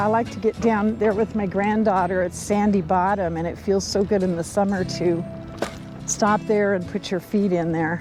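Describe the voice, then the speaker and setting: With music in the background, a woman speaks at a medium pitch with fairly even intonation. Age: old. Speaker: recumbent trike rider, vlogger. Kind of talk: casual talk to camera while riding. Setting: outdoors.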